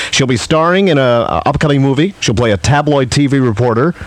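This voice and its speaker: Speaking at a very fast pace, a man holds a medium pitch with ordinary pitch variation. Noticeable background noise is present. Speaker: radio host. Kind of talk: radio show host patter, aircheck.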